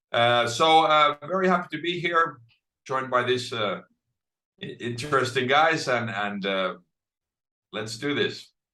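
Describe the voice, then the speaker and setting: Using a Finnish accent, a man talks at a fairly slow pace with long, frequent pauses, a medium pitch, a bright, sharp tone and lively intonation. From Finland. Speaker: author and speaker. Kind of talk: panel discussion.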